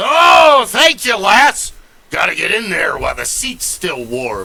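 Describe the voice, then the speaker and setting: A man speaks in a raised, projected put-on character voice. His pace is fairly slow. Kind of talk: pirate speech. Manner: extremely loud.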